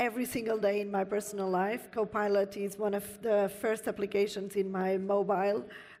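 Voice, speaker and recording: Over a quiet background, a woman with a non-native accent speaks at medium pitch in a monotone, flat intonation. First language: not English. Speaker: panelist, IT industry executive. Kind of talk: panel discussion. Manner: frequent hesitations.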